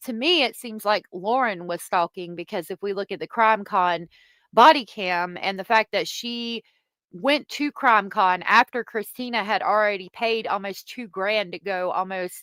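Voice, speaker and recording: Recorded very cleanly against a silent background, with a dry, close sound and no echo, a woman with a Southern accent speaks at a moderate pace in a medium pitch and a bright, sharp tone, with ordinary pitch variation and big swings in loudness. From US South. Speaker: streamer commenting on online drama. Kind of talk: live stream commentary reading chat. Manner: casual, halting.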